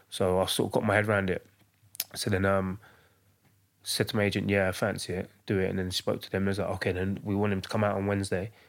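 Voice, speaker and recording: A man with a London accent talks at a very fast pace. His pitch is fairly low, and his intonation is monotone and flat. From East London. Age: 30s. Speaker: professional footballer. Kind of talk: casual chat.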